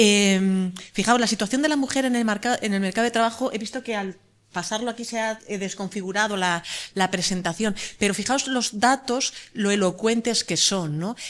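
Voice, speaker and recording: A woman's fairly high voice with ordinary pitch variation, in a very clean recording with a silent background. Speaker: law professor. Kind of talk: conference talk. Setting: conference panel. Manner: fast.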